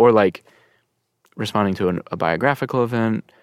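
This man has a plain, everyday voice, speaking at a fairly quick pace with fairly even intonation. The sound is dry and close with no echo, on a very clean recording with a silent background. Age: 30s. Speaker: pianist and composer. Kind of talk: casual interview. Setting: studio.

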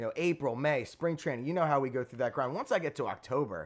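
A man with an American accent speaks at a fairly quick pace against a quiet background. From Philadelphia suburbs, Montgomery County. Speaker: sports fan podcast guest. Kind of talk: casual chat. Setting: in person.

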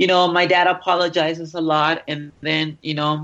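A woman speaks with a Mexican accent at a fairly slow pace. Her very deep, low pitch holds fairly even intonation. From Mexico. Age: 20s. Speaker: adult film performer. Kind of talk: interview.

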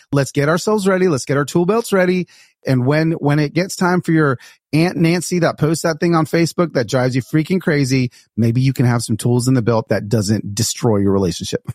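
Recorded with a dry, close sound and no echo, a man with an unremarkable speaking voice and fairly high pitch talks at a fairly quick pace with lively intonation and very even loudness. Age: 40s. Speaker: author and speaker. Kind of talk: casual chat.

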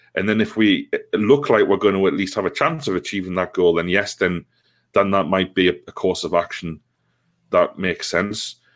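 In a very clean recording with a silent background, a man speaks at a moderate pace with a Geordie accent. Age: 30s. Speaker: football supporters' trust organiser. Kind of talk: casual interview. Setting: call.

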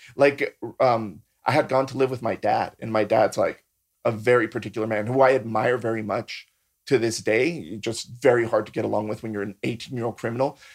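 This man has an unremarkable speaking voice of medium pitch. He talks at a fairly quick pace with fairly even intonation. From San Diego, California (born in Mexico, moved at about six). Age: 40s. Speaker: MMA and bare knuckle fighter, artist, drag performer. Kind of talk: casual chat.

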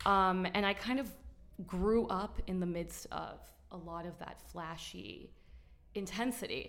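There is audible room echo as a woman speaks with long, frequent pauses and big swings in loudness. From Miami. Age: 30s. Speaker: social media influencer. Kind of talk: casual chat. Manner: animated.

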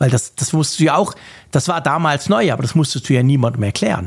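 A man talks at a fairly quick pace in an unremarkable speaking voice. His pitch is medium. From Switzerland. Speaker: podcast host. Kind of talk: casual chat.

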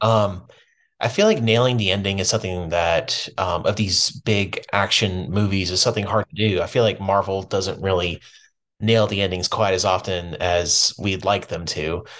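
At a moderate pace, a man speaks in a fairly low pitch with fairly even intonation over a quiet background, a plain, everyday voice. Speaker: film podcast guest. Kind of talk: casual chat.

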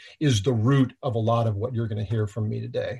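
The man's voice is somewhat breathy. Behind him, the background stays quiet. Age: 50s. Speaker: leadership trainer, former FBI agent. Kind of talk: interview. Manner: repetitive stammering.

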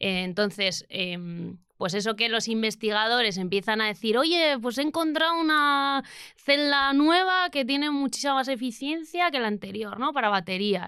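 A woman with a bright, sharp tone talks at a fairly slow pace, her pitch swinging very widely, on a very clean recording with a silent background. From Spain, Basque Country (Bilbao). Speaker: renewable energy engineer. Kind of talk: casual interview.

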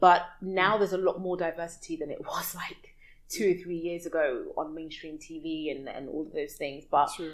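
In a London accent, a woman with a fairly low pitch and ordinary pitch variation speaks at a moderate pace, her loudness swinging a lot. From West London, UK. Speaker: expat entrepreneur and community connector. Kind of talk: casual interview chat.

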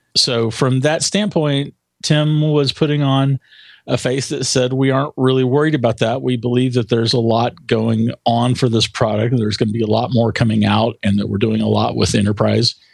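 Delivered at a moderate pace with very even loudness and ordinary pitch variation, this is an unremarkable speaking voice. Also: man, medium pitch for a man. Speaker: tech writer. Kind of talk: casual interview chat.

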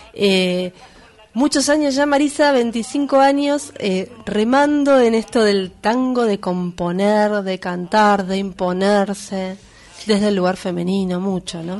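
A woman talks very slowly while noticeable noise sits in the background. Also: medium pitch for a woman, ordinary pitch variation. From Buenos Aires suburbs (conurbano), Argentina. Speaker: radio host. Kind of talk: casual chat. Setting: studio.

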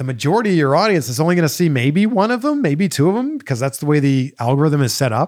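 A man with a plain, everyday voice speaks at a fairly high pitch with lively intonation. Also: very clean recording, silent background. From Canada, Greater Toronto Area. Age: 40s. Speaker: podcast host and interviewer. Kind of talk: casual solo Q&A chat.

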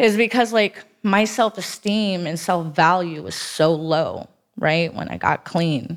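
At a very slow pace, a woman with an American accent speaks with big swings in loudness. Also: fairly low pitch for a woman, ordinary pitch variation. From South Florida (Broward County). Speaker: recovering addict sharing her story. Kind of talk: testimony.

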